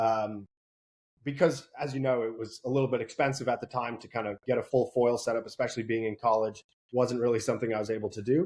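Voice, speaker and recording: With an American accent, a man speaks very fast at a medium pitch and with fairly even intonation. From US Northeast and Netherlands. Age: 20s. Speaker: kiteboarding instructor and salesperson. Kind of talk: interview.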